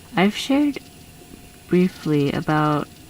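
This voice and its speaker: A woman at a very slow pace amid noticeable background noise. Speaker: art YouTuber. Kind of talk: voice-over commentary.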